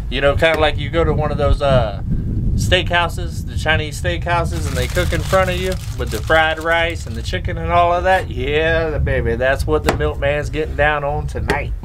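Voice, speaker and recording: A man's moderate pace comes through noticeable background noise. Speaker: homestead cooking vlogger. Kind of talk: casual vlog chat. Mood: excited, upbeat. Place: forest.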